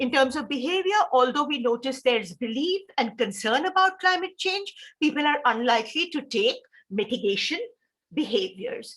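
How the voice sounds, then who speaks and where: Speaking at a moderate pace with an Indian accent, a woman uses a high pitch and very wide pitch swings. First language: Hindi. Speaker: professor. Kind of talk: lecture.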